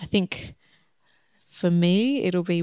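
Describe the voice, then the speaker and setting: A woman's dark, mellow voice in an Australian accent, fairly low in pitch with fairly even intonation, in a dry, close sound with no echo. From Australia (Shepparton, Victoria). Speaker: optometrist, missionary candidate. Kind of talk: interview.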